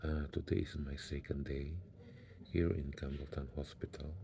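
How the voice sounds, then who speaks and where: The voice is quiet and somewhat breathy, with a dark, mellow tone. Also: man. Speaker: vlogger. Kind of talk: video diary. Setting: hospital bed. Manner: quiet, low voice.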